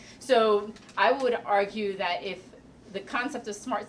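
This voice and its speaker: Noticeable background noise accompanies a woman's voice. She speaks at medium pitch with ordinary pitch variation. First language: Spanish. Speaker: panelist. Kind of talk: panel discussion.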